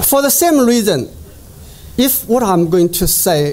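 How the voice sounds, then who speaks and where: A man with a Chinese accent at a moderate pace, lively intonation, and noticeable background noise. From China, Jiangsu (Yangzhou). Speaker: economics professor. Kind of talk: conference presentation. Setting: conference stage with audience.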